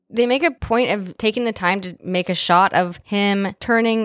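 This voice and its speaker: At a fairly slow pace, a woman uses an ordinary speaking voice at medium pitch, recorded with a dry, close sound and no echo. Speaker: podcast host. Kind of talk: casual chat. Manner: casual, profane.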